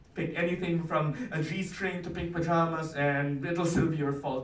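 A man speaks at a fairly high pitch with fairly even intonation. Audible room echo surrounds his voice. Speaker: spoken word poet. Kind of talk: spoken word poetry performance. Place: meeting room. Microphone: camera far.

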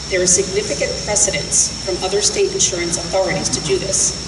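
A woman speaks at a fairly quick pace against loud background noise. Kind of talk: press conference statement. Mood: serious, advocating. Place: street. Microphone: podium.

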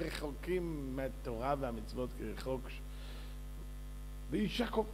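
A fairly slow pace over light background noise. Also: man. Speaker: religious teacher. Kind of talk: sermon. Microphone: podium.

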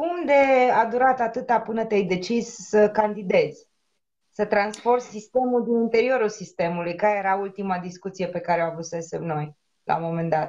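In an unremarkable speaking voice, a woman with a fairly high pitch talks at a moderate pace with lively intonation over a quiet background. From Romania. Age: 30s. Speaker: activist; interviewer, guest. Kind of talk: casual chat. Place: home room. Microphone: video call.

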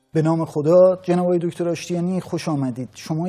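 Moderately paced speech from a man, his intonation fairly even. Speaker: TV interviewer host. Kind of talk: interview question. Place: studio. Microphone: lapel.

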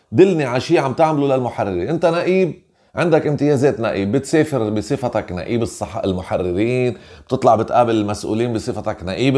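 Against a quiet background, a man with a Lebanese accent speaks at a fairly quick pace and medium pitch, his intonation lively. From Lebanon. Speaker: journalist and magazine editor; journalist. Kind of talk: interview. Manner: animated. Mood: angry, accusatory. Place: home room. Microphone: webcam.

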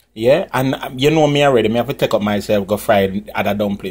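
At a very fast pace, the male speaker talks with ordinary pitch variation. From Jamaica. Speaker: cooking channel host and comedian. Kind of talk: cooking tutorial. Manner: casual, chatty. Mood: cheerful, friendly. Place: kitchen. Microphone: phone near.

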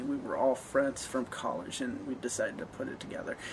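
There is noticeable background noise. Over it, a man speaks at a fairly quick pace. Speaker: amateur web series creator. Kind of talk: casual vlog chat. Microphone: webcam.

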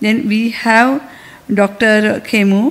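With an Indian accent, a woman speaks at a fairly high pitch. Her intonation stays fairly even. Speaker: medical society official. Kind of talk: conference speech. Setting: conference hall. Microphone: podium.

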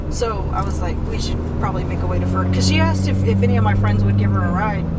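A woman is heard over loud background noise. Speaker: driver vlogger. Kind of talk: casual vlog chat. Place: car. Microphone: phone near.

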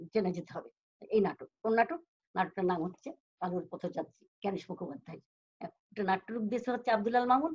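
A woman speaks with lively intonation. Her voice carries a somewhat breathy quality. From Bangladesh, Jessore; Bangladesh. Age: 70s. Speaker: stage and television actress; guest. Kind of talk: interview. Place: home room. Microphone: video call.

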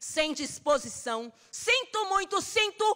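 A woman with an extremely high pitch raises and projects her voice in an intense tone, swinging her pitch very widely at a fairly slow pace over a quiet background. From Brazil. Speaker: actress performing a poem. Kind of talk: spoken-word poem performed as an angry, defiant monologue. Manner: fierce, defiant and sarcastic, with biting, rhythmic emphasis; intense and emotional, cracking into grief near the end. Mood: defiant, sarcastic, intense. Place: stage. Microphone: studio mic.

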